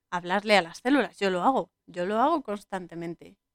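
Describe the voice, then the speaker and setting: A woman talks at a moderate pace in a plain, everyday voice of medium pitch. The sound is dry and close, with no echo. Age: 30s. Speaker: podcast host. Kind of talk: solo podcast monologue on film and spirituality.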